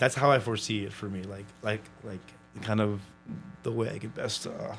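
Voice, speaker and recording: A man speaks at a fairly low pitch with an American accent, his loudness swinging widely. Music plays in the background. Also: fairly even intonation, moderate pace. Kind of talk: casual chat. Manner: halting, many fillers.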